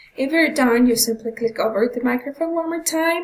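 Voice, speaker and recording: A woman's high pitch and lively intonation amid noticeable background noise. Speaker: tutorial presenter. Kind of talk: screen-recorded software tutorial. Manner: hesitant with many fillers.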